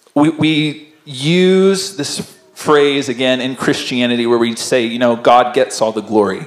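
With audible room echo but a quiet background, a man speaks at a fairly slow pace with ordinary pitch variation. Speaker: pastor. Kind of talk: sermon. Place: church. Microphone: handheld.

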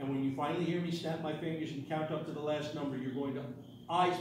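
A man talks very fast amid noticeable background noise and strong room echo. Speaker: stage hypnotist. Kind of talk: stage hypnosis show, giving hypnotic suggestions and post-hypnotic commands. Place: hall. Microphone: camera far.

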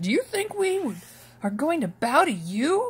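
A woman does a put-on character voice at a high pitch. She moves at a fairly slow pace with very wide pitch swings.

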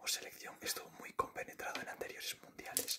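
Someone is whispering. The pace is fairly quick. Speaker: ASMR creator. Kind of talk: soft ASMR talk, mock rune reading. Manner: soft-spoken calm ASMR rune reading.

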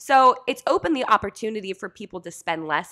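A woman speaks at a moderate pace, her pitch swinging very widely. The background is quiet. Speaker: podcast host. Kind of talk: interview conversation. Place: studio. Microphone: studio mic.

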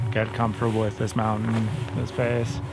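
A man talks over clear background music. The sound is dry, with no echo. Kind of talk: on-location reflection to camera. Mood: cautious, uneasy. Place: open country.

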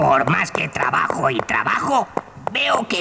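A man talks at a fairly slow pace. Clear background noise can be heard. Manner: worried, fretful.

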